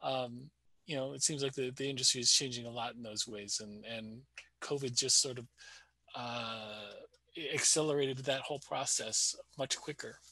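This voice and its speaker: A man at a medium pitch and moderate pace, bright and sharp in tone, with fairly even intonation, big swings in loudness, long, frequent pauses, and a dry sound with no echo over a quiet background. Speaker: storyboard artist; panelist. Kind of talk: panel discussion answer. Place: home room. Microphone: headset.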